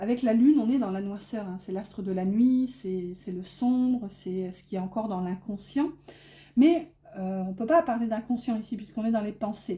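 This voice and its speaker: A woman's fairly high, somewhat breathy voice in a dark, mellow tone, with ordinary pitch variation, big swings in loudness and a northern French accent. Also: moderate pace. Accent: northern French (ch'ti) accent showing. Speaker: tarot card reader. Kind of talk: tarot reading. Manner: hesitant, many fillers.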